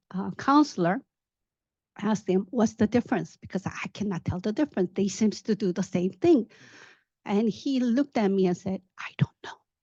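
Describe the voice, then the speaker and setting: A somewhat breathy woman's voice with a non-native accent, medium pitch, lively intonation, a dark, mellow tone and a moderate pace, in a dry, close sound with no echo and a quiet background. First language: not English. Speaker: tech professional, panel speaker. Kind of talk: career talk, personal story. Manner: halting, with fillers.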